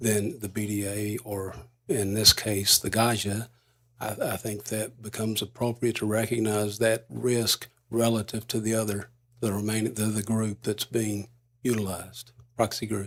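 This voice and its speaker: A man talks at a moderate pace. His intonation stays monotone and flat. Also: fairly low pitch for a man. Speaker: regulatory staff witness. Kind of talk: witness testimony. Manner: halting; polite. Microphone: too far from microphone at first.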